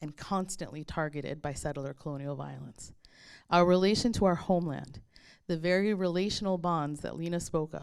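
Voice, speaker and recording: A woman with a Chicago accent at a fairly low pitch, fairly even in intonation and moderate in pace, on a very clean recording with a silent background. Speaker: history professor and event moderator. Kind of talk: reflective talk at a book launch. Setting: book launch event with audience.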